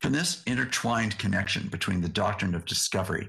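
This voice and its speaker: A man speaks with a very deep, low pitch and an American accent. Vocal fry runs through his voice. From US West Coast, Yakima area of Washington. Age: 60s. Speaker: seminary president and theologian. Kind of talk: lecture. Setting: remote video link.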